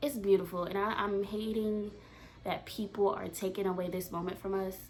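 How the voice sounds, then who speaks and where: Noticeable background noise runs beneath this recording. A woman with a medium pitch talks at a moderate pace. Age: 20s. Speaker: reality TV commentator. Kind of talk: casual vlog commentary. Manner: animated.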